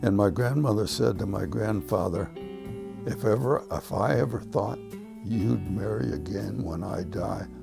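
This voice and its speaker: A man's fairly low voice in a Midwestern American accent, fairly slow, with very wide pitch swings and music in the background. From Cleveland, Ohio. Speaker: retired teacher and school administrator. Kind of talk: oral history interview answer.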